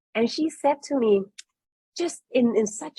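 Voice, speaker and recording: A woman's voice comes through dry and close, with no echo. Her tone is dark and mellow, and somewhat breathy. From Netherlands (Curaçao roots, grew up in Amsterdam). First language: Dutch. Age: 30s. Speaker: business leader at a tech company. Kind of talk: panel webinar conversation.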